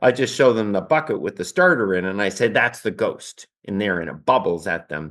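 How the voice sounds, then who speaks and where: The man's intonation is lively, and he keeps a moderate pace. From Canada. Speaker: baker and cookbook author. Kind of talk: interview. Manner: halting.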